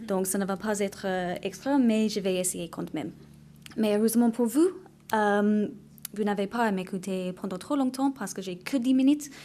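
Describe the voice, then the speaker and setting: A woman's dark, mellow voice with an English accent and ordinary pitch variation. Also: medium pitch for a woman, moderate pace. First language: English (speaking French). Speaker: actuary / insurance practitioner. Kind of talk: conference presentation.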